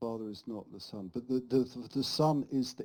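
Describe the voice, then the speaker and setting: The voice has a dark, mellow tone and fairly even intonation, moving at a moderate pace. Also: man. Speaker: oneness debater. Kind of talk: heated debate. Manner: halting.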